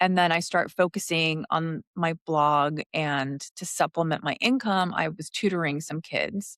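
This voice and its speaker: On a very clean recording with a silent background, a woman speaks at a fairly low pitch and a fairly slow pace with hardly any pauses. Her pitch varies in an ordinary way, in a dry, close sound with no echo. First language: Spanish. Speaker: interior designer and podcast co-host. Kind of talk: casual interview chat.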